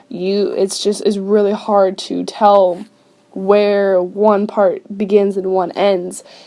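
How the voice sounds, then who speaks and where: A woman speaks at a very slow pace and medium pitch. Noticeable background noise runs underneath. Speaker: digital artist. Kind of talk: casual narration over speedpaint. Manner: upbeat.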